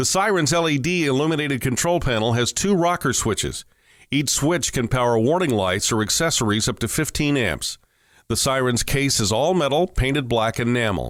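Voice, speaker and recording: With a plain, everyday voice, a man at medium pitch speaks at a moderate pace with lively intonation and very even loudness, in a very clean recording with a silent background. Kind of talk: corporate product narration. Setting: studio voiceover.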